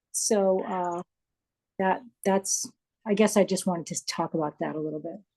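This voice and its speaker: Dry and close with no echo, a woman's dark, mellow voice sits at medium pitch and moves at a moderate pace with long, frequent pauses. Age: 60s. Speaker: online art student. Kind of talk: live Q&A question. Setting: video call. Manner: halting.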